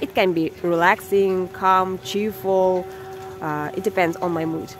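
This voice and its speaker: A woman with a Kazakh accent at a medium pitch, fairly slow pace and fairly even intonation, over noticeable background noise. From Kazakhstan. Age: 30s. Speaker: content creator and English teacher. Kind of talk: vlog monologue. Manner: halting.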